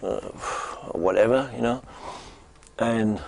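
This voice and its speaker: The speaker is a man. His voice lands at a medium pitch. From Germany (Stettin). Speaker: busker. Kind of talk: interview testimony.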